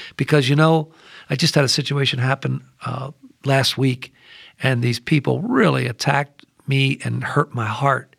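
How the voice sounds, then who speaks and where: A man speaks at a moderate pace with a medium pitch, fairly even intonation and vocal fry. The sound is dry and close, with no echo. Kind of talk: scripture discussion. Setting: studio.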